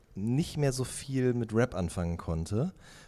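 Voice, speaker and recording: The delivery is at a fairly slow pace with very wide pitch swings. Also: man. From Ruhr area, Germany. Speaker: music journalist. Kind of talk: interview.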